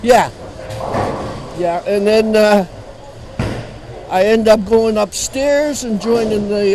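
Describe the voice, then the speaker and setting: Over music in the background, a man with an Ontario accent talks fairly slowly at a high pitch with ordinary pitch variation. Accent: Canadian (Ontario). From Ontario, Canada (Sarnia area). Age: 70s. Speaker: veteran amateur bowler. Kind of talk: interview.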